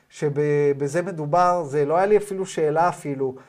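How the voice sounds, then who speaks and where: A man's speech unfolds fairly slowly, his pitch rising and falling in an ordinary way. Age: 40s. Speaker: spiritual teacher. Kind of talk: lecture. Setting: video call.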